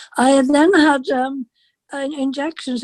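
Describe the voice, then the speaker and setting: A woman with an English accent speaks at a fairly slow pace, her dark, mellow tone captured in a dry, close sound with no echo. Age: 80s+. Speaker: interviewee with sight loss. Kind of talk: interview. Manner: halting.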